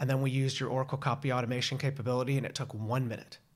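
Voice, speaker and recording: This man's voice is somewhat breathy. His pitch is fairly high. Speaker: podcast host. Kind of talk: casual interview chat.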